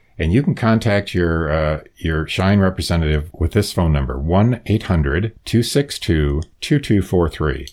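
With an American accent and a very deep, low pitch, a man speaks at a fairly slow pace with lively intonation, very even loudness and hardly any pauses, in a very clean recording with a silent background. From US Midwest. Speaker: retired lawyer and Medicare expert. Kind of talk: interview explaining Medicare.

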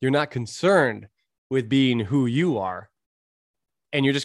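Against a quiet background, a man with medium pitch and ordinary pitch variation talks at a fairly quick pace in a dry, close sound with no echo. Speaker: strength coach and podcast host. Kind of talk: solo podcast monologue. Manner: fast talker; rambling, mutters when speaking fast.

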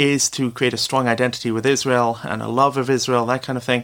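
A man in a British accent talks with monotone, flat intonation. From Britain. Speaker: former day school teacher, anonymous author. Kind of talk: interview answers.

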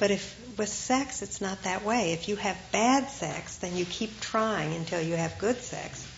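The speech moves at a fairly slow pace with ordinary pitch variation. Noticeable background noise sits underneath. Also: woman, medium pitch for a woman. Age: 50s. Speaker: Zen meditation teacher. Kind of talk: dharma talk. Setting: talk with live audience.

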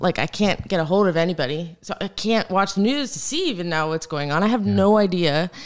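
A woman speaks with a fairly low pitch and ordinary pitch variation. It is a plain, everyday voice. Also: very clean recording, silent background. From US South, Florida (Naples). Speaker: hurricane survivor. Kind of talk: casual chat.

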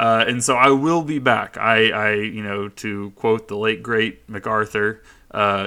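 A man speaks with a fairly low pitch. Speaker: podcast host and lawyer. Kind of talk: casual solo podcast announcement. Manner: rambling, unscripted.

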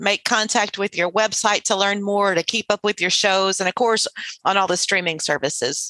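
A woman with an American accent talks at a fairly quick pace in a bright, sharp tone, with a dry, close sound and no echo. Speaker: podcast host. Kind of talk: casual interview.

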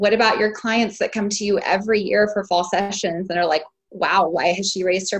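Speaking with an American accent, a woman of medium pitch talks at a fairly quick pace, somewhat breathy, with ordinary pitch variation. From Texas. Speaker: family photographer. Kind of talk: group coaching call.

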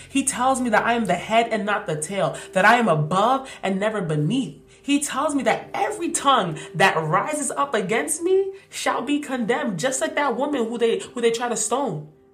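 Pitched fairly high, a woman talks at a moderate pace with hardly any pauses and very wide pitch swings, and the room echo is audible. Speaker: podcast host. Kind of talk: faith reflection monologue. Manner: animated.

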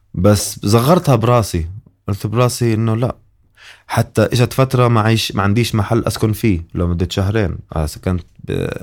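On a very clean recording with a silent background, a man with a plain, everyday voice talks at a fairly slow pace in a fairly low pitch with ordinary pitch variation. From Jordan. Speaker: comedian and musician. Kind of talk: casual chat.

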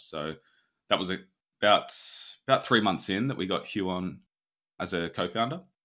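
With an Australian accent, the speaker talks at a moderate pace in a bright, sharp tone on a very clean recording with a silent background. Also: man. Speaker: startup founder and CEO. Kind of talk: interview.

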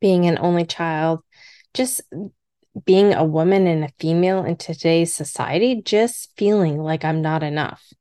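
At a moderate pace and a fairly low pitch, a woman speaks in an unremarkable speaking voice, with a dry, close sound and no echo. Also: quiet background. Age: middle-aged. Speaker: podcast host. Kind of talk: solo personal podcast monologue.

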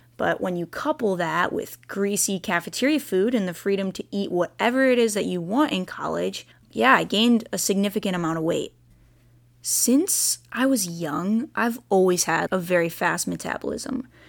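On a very clean recording with a silent background, a woman with a normal speaking voice talks at a moderate pace with lively intonation. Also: medium pitch for a woman. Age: 20s. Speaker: podcast host, personal trainer. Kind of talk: personal storytelling monologue. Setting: home recording.

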